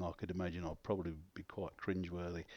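Spoken at a fairly quick pace with a southern English accent. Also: man. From South East London. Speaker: radio broadcaster and poet. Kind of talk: interview conversation.

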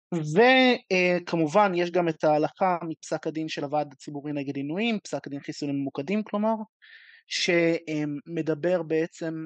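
With an unremarkable speaking voice, a man talks at a moderate pace and fairly high pitch, showing ordinary pitch variation. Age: 20s. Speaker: law student. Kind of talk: audience question. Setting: video call.

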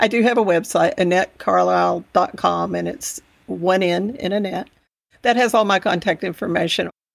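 A woman with a Texan accent speaks at a moderate pace in a very clean recording with a silent background. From Texas Panhandle. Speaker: education advocate and podcaster. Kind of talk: interview.

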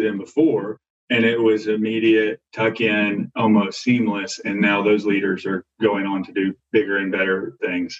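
A man with an American accent and an ordinary speaking voice, fairly low-pitched, at a moderate pace. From US South, Arkansas. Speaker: corporate development professional. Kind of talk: panel discussion. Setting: phone or video call.

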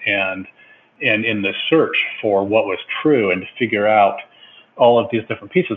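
The speech comes at a fairly quick pace. It is a plain, everyday voice with an American accent. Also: man. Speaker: psychiatrist and researcher. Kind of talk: interview.

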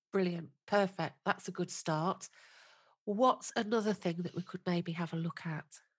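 A woman's somewhat breathy, fairly low voice with fairly even intonation comes through with a dry, close sound and no echo. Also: moderate pace. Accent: British. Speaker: podcast host. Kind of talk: interview, friendly chat.

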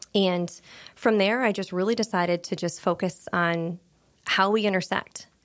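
With an American accent and a normal speaking voice, a woman talks at a moderate pace with a medium pitch and fairly even intonation. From small-town Pennsylvania near New York border. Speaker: credit union market development manager. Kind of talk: interview conversation.

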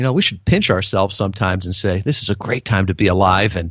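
Fairly even intonation from a man with a fairly low pitch. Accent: Midwestern American. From US Midwest, Chicago suburbs. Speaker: business consultant and navy veteran. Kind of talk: interview.

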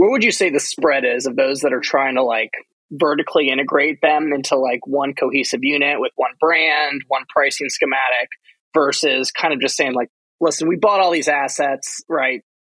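A man with an ordinary speaking voice talks at a moderate pace, fairly high in pitch with ordinary variation, in a dry, close sound with no echo. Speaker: podcast host and investor. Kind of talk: interview conversation.

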